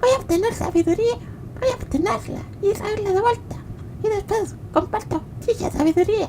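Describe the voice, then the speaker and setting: A put-on character voice is broken by long, frequent pauses, with clear background noise behind it. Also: moderate pace. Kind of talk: comedic parody dub. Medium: dub.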